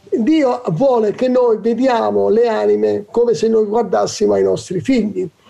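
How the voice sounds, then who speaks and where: A man talks fairly slowly at a very even loudness while noticeable background noise fills the recording. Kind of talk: religious talk show discussion. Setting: studio.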